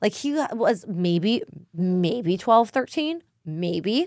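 The woman's voice is recorded with a dry, close sound and no echo. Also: very clean recording, silent background. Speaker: podcast co-host. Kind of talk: casual chat. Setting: studio.

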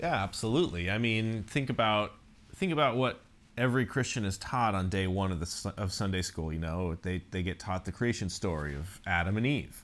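This is a man with a fairly low pitch and a normal speaking voice. He talks at a fairly quick pace. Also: ordinary pitch variation. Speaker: podcast co-host. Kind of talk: casual chat. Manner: joking, self-deprecating.

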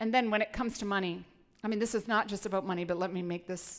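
Her medium pitch and ordinary pitch variation mark this woman's speech. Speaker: pastor. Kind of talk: sermon. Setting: church.

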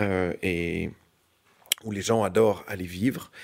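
This man speaks with ordinary pitch variation. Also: very clean recording, silent background. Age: 50s. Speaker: real estate executive. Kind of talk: interview.

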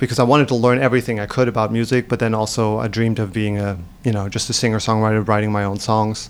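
Speaking with a German accent, a man uses a fairly low voice and fairly even intonation over noticeable background noise. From Germany, Hamburg. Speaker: singer-songwriter. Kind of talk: interview.

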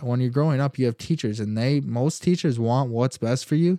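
A man's medium-pitched, dark and mellow voice with an American accent, fairly quick in pace and ordinary in pitch variation, over a quiet background. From Michigan (Holland). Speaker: podcast host, entrepreneur. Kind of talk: personal story monologue. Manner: casual, many fillers.

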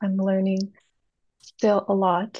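Speaking fairly slowly, a woman has a medium pitch and a somewhat breathy voice with a dark, mellow tone. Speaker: software engineer. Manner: halting, careful.

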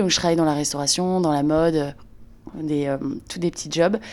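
Her pitch is very deep and low. The woman's intonation stays fairly even. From northern France, Lille. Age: 30s. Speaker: entrepreneur, brand founder. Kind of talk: interview testimony. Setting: in a friend's home.

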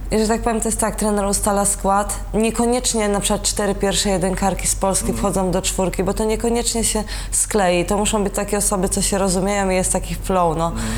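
A woman talks at a very fast pace with hardly any pauses and very even loudness. Audible room echo and noticeable background noise are present. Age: 20s. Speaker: olympic rower. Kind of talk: casual interview.

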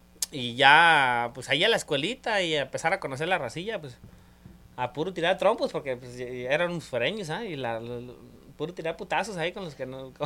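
Bright, sharp tone from a man with a fairly high pitch, a fairly quick pace and big swings in loudness. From rural Mexico, mountain ranch. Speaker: podcast guest. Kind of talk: casual chat.

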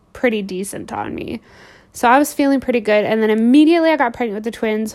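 A woman speaks with a fairly high pitch. Her pitch variation is ordinary. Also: very clean recording, silent background. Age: 20s. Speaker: podcast host sharing weight loss tips. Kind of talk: casual monologue. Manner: animated, with many fillers and repetitions.

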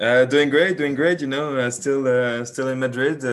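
A man speaks in a French accent at a medium pitch. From France. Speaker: business student. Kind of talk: casual chat. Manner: halting, many repetitions and fillers.

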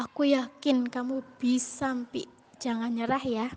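At a fairly slow pace, a woman speaks in a high, shrill voice. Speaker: university student. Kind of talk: recorded birthday message. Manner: stumbling.

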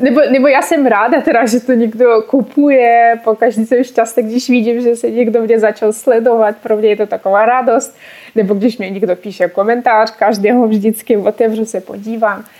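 A woman speaks in a Russian accent with a fairly high pitch. Her tone is dark and mellow, and her pace is moderate. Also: fairly even intonation. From Russia, Ural region. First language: Russian (speaking Czech). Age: 20s. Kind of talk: casual interview. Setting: online call.

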